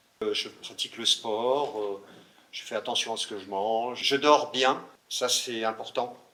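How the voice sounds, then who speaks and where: A man talks at a medium pitch with a bright, sharp tone. His intonation stays fairly even. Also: fairly slow pace. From France, Burgundy (Le Creusot). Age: 60s. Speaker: mayor. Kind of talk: interview Q&A.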